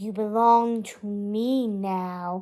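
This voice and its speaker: A woman's put-on character voice, cackling, at a medium pitch. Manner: cackling, gloating.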